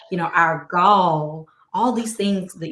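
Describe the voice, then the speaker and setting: Her pitch medium and her intonation lively, a woman speaks. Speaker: podcast host and author. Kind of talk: casual chat. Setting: live stream.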